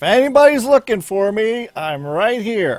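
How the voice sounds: A man shouting loudly in a put-on character voice, high in pitch with very wide pitch swings, at a moderate pace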